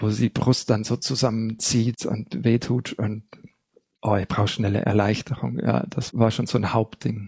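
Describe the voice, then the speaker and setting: A man speaks at a moderate pace in a dark, mellow tone with vocal fry. The sound is dry and close, with no echo. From Bavaria (Hallertau, Upper Bavaria). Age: 40s. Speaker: recovering alcoholic, music therapist and researcher. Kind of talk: personal testimony in interview.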